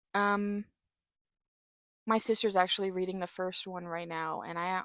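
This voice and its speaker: Dry, close sound with no echo, a very clean recording with a silent background, and a moderate pace. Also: woman. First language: sign language (deaf family). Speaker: author and book vlogger. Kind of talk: casual book recommendation vlog. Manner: casual with frequent fillers (um, like).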